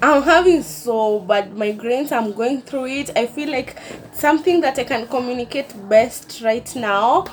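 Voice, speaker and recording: Over noticeable background noise, a woman with a high pitch talks at a fairly slow pace with lively intonation. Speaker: vlogger. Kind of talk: casual chat.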